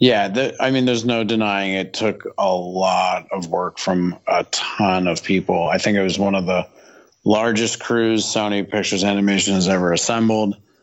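A man with a normal speaking voice talks at a fairly low pitch and a moderate pace, his intonation fairly even and his loudness very even. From Canada, Toronto. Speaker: film art director and illustrator. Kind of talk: casual interview chat.

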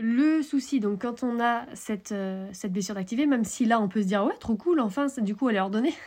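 A somewhat breathy woman speaks at a fairly high pitch. Her pitch variation is ordinary. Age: 30s. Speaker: horse coach podcaster. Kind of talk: solo podcast monologue. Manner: casual, filler-heavy.

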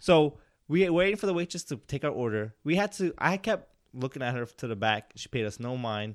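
The recording is very clean, with a silent background. A man with a fairly high pitch talks at a fairly quick pace with very wide pitch swings. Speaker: podcast host. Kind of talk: casual chat. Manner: mumbling.

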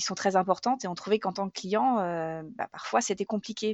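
A woman talks at a fairly quick pace with ordinary pitch variation, in a plain, everyday voice. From Normandy. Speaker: grocery shop co-owner, former marketer. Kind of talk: testimony.

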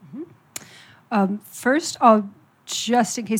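Somewhat breathy, this voice speaks at a moderate pace with an American accent on a very clean recording with a silent background. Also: woman. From US Midwest, Ohio. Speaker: writer, editor and carer advocate. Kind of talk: panel talk.

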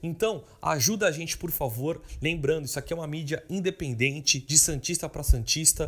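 A somewhat breathy man at a moderate pace, ordinary pitch variation, on a very clean recording with a silent background. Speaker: podcast host. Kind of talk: casual chat; sponsorship appeal.

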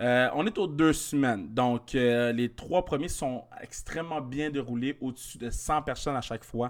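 In a normal speaking voice, a man talks at a medium pitch with ordinary pitch variation. His pace is fairly slow with hardly any pauses, on a very clean recording with a silent background. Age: 20s. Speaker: comedian. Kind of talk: casual chat.

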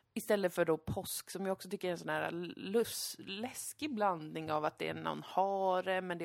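This is a normal speaking voice from a woman, medium in pitch with ordinary pitch variation. She keeps a moderate pace with hardly any pauses, on a very clean recording with a silent background. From Sweden. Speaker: podcast host. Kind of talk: casual chat.

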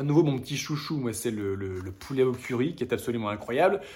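Lively intonation in a man's somewhat breathy voice. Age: 30s. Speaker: hiking video creator. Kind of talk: casual vlog with gift recommendations.

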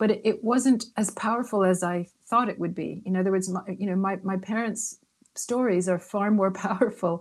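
Medium-pitched and at a moderate pace, a woman speaks in an ordinary speaking voice. Her intonation is fairly even. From Canada, Toronto. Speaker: author. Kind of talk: interview.

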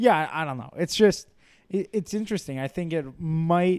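Lively intonation marks this man's speech, delivered with an American accent. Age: 20s. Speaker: podcast co-host. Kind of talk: casual chat.

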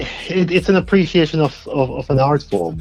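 There is music in the background. A man speaks at a fairly slow pace. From southern England. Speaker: guest, poetry event organiser.

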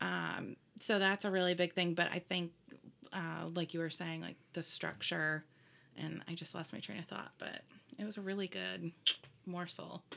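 Pausing long and often, a woman talks at a moderate pace. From US Midwest (Indiana). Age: 30s. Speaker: wedding music provider. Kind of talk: casual chat.

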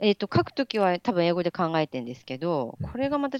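Against a quiet background, a woman talks at a very fast pace with very wide pitch swings, the sound dry and close with no echo. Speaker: doctoral student. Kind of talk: casual interview chat.

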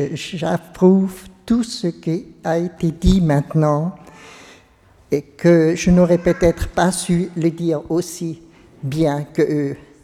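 At a very slow pace and with fairly even intonation, the voice comes through noticeable background noise. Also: woman, long, frequent pauses. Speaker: parishioner. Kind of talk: testimony. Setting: church. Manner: halting.

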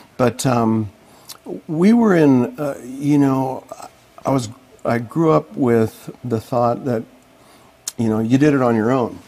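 With an American accent, a man speaks at a very slow pace and leaves long, frequent pauses. His voice sits at a medium pitch with ordinary pitch variation. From Colorado, Boulder. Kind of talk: interview testimony. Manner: halting.

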